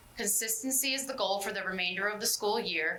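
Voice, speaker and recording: Over noticeable background noise, a woman with a medium pitch talks at a fairly quick pace with ordinary pitch variation. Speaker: school board member reporting on parent committee. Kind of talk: committee report at public meeting. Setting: school board meeting. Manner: fast; reading a prepared summary.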